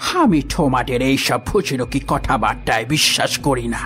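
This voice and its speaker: Over clear background music, a man speaks at a moderate pace in a put-on character voice. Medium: audio drama. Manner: haughty, scoffing.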